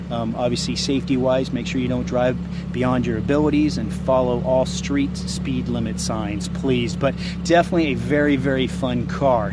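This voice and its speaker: There is audible room echo and noticeable background noise behind a man's voice. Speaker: car salesperson. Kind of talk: product walkaround. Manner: fast.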